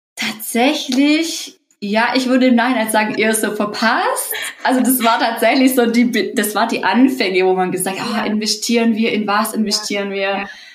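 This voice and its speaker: Music plays in the background as a woman with a fairly high pitch speaks at a moderate pace with fairly even intonation, and audible room echo surrounds her voice. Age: 30s. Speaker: course participant, parent on leave. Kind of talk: interview.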